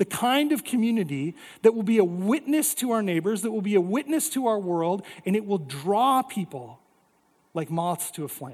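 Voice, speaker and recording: On a very clean recording with a silent background, a man with an American accent speaks at a moderate pace, his high pitch moving in very wide swings. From North Dakota, US Upper Midwest. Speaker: pastor. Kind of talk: sermon.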